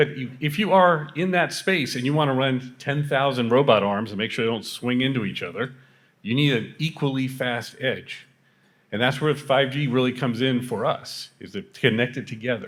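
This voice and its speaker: A man uses a normal speaking voice at medium pitch and a moderate pace, with ordinary pitch variation, in a very clean recording with a silent background. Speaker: tech company architect. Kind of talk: panel discussion.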